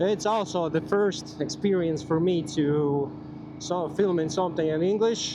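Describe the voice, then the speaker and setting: Amid audible room echo, a man with a Latvian accent speaks very slowly in a high voice with ordinary pitch variation. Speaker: motorcycle vlogger. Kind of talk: casual vlog monologue. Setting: riding a motorcycle outdoors. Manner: halting, many fillers.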